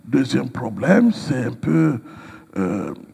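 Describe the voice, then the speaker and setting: Pitch swings very widely as a man speaks. He goes very slowly, with noticeable background noise behind him. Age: 60s. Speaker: pastor. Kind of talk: interview. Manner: hesitant with frequent fillers.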